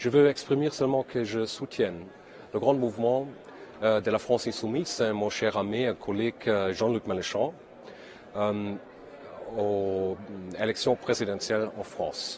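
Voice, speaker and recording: Speaking at a fairly slow pace with long, frequent pauses, a man of medium pitch has a strong non-native accent. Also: ordinary pitch variation. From Germany. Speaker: politician. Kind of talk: video message of support. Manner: halting.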